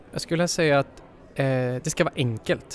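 A man speaks in a plain, everyday voice, fairly high in pitch. His pitch varies in an ordinary way, and his pace is moderate. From Sweden. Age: 20s. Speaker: development engineer. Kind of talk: interview.

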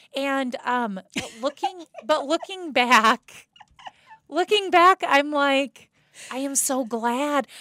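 At a very slow pace, a woman with a high pitch speaks in a raised, projected voice, bright and sharp in tone, with lively intonation and a dry, close sound with no echo. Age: 40s. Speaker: podcast co-host. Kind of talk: show intro and outro announcements; casual podcast chat. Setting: podcast studio.

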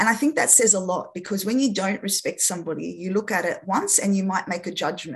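Somewhat breathy and at medium pitch, a woman talks at a very fast pace with hardly any pauses and ordinary pitch variation. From Australia (arrived age 6 from France, Lebanese family). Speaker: speech pathologist and children's author. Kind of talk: interview.

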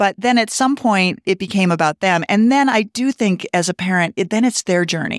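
A woman with an American accent talks at a moderate pace in a normal speaking voice with lively intonation. The recording is very clean, with a silent background and a dry, close sound with no echo. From Montana. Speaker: physician assistant in mental health. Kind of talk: casual interview chat.

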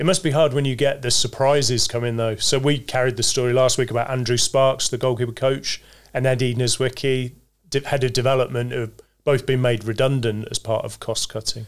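Medium-pitched male speech, monotone and flat, at a fairly quick pace. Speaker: podcast host. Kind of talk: interview.

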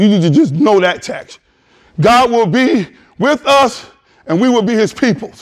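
Loud and animated, a man speaks at an extremely high pitch with lively intonation. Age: 50s. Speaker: pastor. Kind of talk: sermon. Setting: church.

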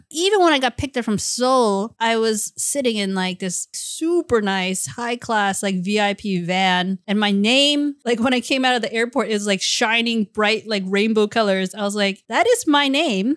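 In a General American accent and a normal speaking voice, a woman talks at a moderate pace in a fairly high pitch with ordinary pitch variation, hardly any pauses, and a dry, close sound with no echo. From US South, Virginia. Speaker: martial arts actor and stunt performer. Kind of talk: casual chat. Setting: studio.

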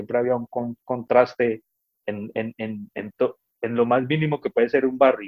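At a fairly slow pace, an unremarkable speaking voice talks with fairly even intonation. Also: man. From Colombia, Cali. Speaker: Colombian immigrant in London. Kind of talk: casual interview chat.

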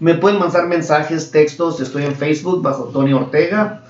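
Fairly even intonation from a man at a fairly quick pace, with audible room echo and noticeable background noise. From Mexico. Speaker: mortgage loan officer. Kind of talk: casual interview.

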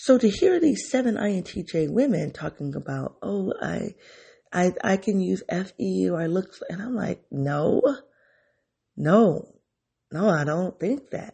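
Fairly slow female speech broken by long, frequent pauses. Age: 50s. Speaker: podcast host. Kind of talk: personal reflection monologue. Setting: solo home recording. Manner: conversational, with self-corrections and fillers.

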